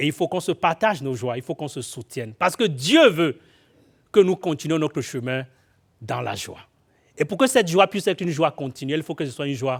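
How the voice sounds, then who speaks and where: Pausing long and often, a man with a fairly high pitch talks at a fairly quick pace with big swings in loudness, in a very clean, dry, close recording with no echo and a silent background. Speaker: guest preacher. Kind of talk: sermon. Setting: church. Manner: halting, repeats words with fillers.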